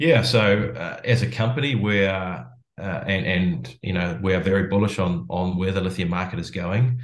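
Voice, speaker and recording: With a New Zealand accent, a man speaks at a moderate pace in a very deep, low pitch with vocal fry and lively intonation, while audible room echo fills the space. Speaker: company founder and CEO. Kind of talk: interview.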